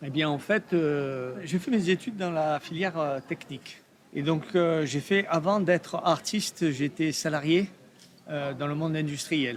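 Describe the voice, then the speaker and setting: A man with a slight southern French accent, fairly high in pitch, with ordinary pitch variation and a fairly slow pace. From Provence, southern France. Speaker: artist, steel sculptor. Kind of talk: podcast interview. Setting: art fair. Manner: hesitant, many fillers.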